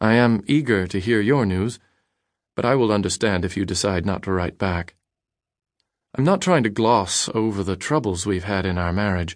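An ordinary speaking voice from a man, fairly low in pitch with ordinary pitch variation, at a moderate pace against a quiet background. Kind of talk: dramatic audiobook narration of a letter, read aloud. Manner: earnest, wistful, heartfelt; measured, reflective, sincere.

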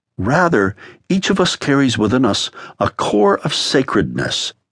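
A man of medium pitch speaks at a fairly slow pace in a warm tone with vocal fry. His pitch swings very widely, and the sound is dry and close with no echo. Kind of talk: audiobook narration, author reading his own memoir-style spiritual text aloud. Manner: measured, warm, earnest, pastoral tone with reflective pacing.

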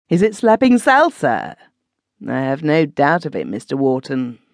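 Over a quiet background, a woman with a very deep, low pitch and vocal fry talks at a moderate pace in an animated, dramatic tone, her pitch swinging very widely. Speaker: audiobook narrator. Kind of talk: audiobook narration of a classic sea adventure, with character dialogue. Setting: studio. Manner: dramatic, voicing gruff naval officers in clipped, stern tones; animated, shifting between narration and character voices.

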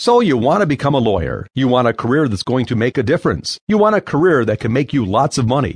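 Someone reading aloud in a natural voice.

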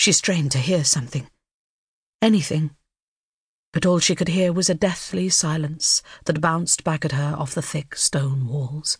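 A woman with a very deep, low pitch speaks in a somewhat breathy voice. Long, frequent pauses stand out against a quiet background. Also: ordinary pitch variation, moderate pace. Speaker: audiobook narrator. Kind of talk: dramatic audiobook narration of a thriller, read aloud. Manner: hushed, tense, suspenseful pacing with ominous, measured delivery.

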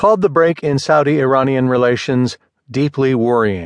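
In a dry, close recording with no echo and a quiet background, a man with a normal speaking voice and medium pitch talks at a moderate pace. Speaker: audiobook narrator. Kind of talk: formal news reading, scripted narration of a print article. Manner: formal; even, measured, steady newsreader pace.

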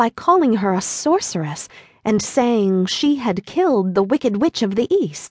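The voice reads aloud in an unforced way.

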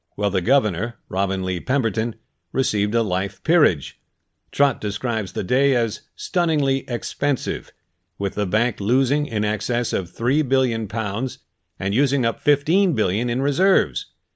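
Over a quiet background, a man uses a normal speaking voice at medium pitch. His intonation is lively and his pace moderate. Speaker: audiobook narrator. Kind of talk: audiobook narration. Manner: steady, measured, clear, even-paced narrator.

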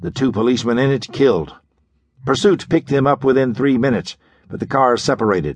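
A man with a plain, everyday voice speaks at a fairly quick pace and medium pitch. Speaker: audiobook narrator. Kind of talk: dramatic audiobook narration of a pulp thriller. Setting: studio. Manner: gripping, measured storytelling pace with building suspense; crisp, urgent delivery in action passages, ominous in mystery.

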